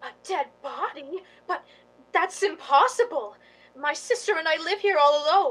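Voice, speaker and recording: A woman's put-on character voice, extremely high in pitch, with very wide pitch swings at a moderate pace. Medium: stage play.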